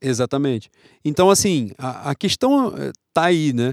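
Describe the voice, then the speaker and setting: A man's ordinary speaking voice, fairly high in pitch, with lively intonation, in a very clean recording with a silent background and a dry, close sound with no echo. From Rio de Janeiro, Brazil. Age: 30s. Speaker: football podcast co-host. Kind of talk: casual chat.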